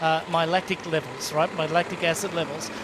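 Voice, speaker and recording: Here a man speaks with a high pitch at a fairly quick pace. Background noise is noticeable. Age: 60s. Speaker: triathlon commentator, former pro. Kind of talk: live sports commentary chat.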